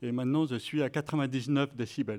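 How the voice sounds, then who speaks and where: The very clean recording, with its silent background, captures a man speaking at a medium pitch with fairly even intonation. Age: 60s. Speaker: deafblind sports program member. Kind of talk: testimony. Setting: evening event with audience at municipal pool. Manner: hesitant, with fillers.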